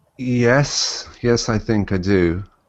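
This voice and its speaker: A man, in an English accent. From England. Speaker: YouTube commentator. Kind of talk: interview. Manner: halting, many fillers.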